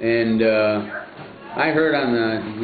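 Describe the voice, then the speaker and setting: In a room with audible echo and noticeable background noise, a man speaks with a Midwestern American accent. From US Midwest, Cleveland, Ohio. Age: 70s. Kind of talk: interview.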